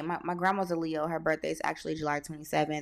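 A woman with an American accent at a fairly quick pace, on a very clean recording with a silent background. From California, Stockton. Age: 20s. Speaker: podcast host. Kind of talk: casual solo monologue. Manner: frequent filler 'um'.

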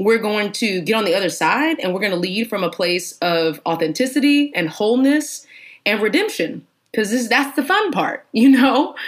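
With an American accent, the speaker uses an animated tone, very wide pitch swings and a moderate pace. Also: woman. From Texas, Houston. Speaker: pastor and ministry founder. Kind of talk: interview conversation.

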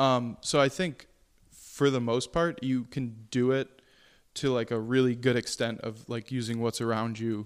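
A man with an American accent speaks at a fairly slow pace, his pitch medium and his intonation fairly even. He has an unremarkable speaking voice. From Syracuse, Central New York. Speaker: chef and restaurant owner. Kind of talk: casual chat.

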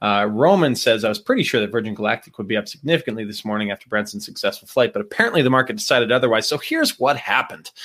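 A man with an American accent talks at a very fast pace with hardly any pauses, in a medium pitch with ordinary pitch variation. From Montana, US. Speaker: investing analyst co-host. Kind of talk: casual chat about investing news.

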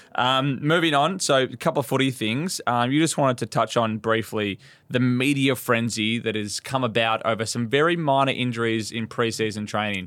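A man with a medium-pitched voice speaks with hardly any pauses. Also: ordinary pitch variation, moderate pace. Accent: Australian. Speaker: podcast co-host. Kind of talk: casual chat.

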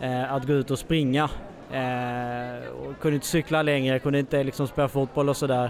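A man speaks at a medium pitch and a moderate pace. His intonation stays monotone and flat. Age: 30s. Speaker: blind runner. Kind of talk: interview, personal story. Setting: expo with mobile podcast studio.

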